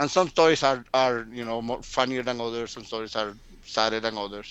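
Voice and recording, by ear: The delivery runs at a fairly quick pace with a fairly bright tone and fairly even intonation. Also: man, medium pitch for a man.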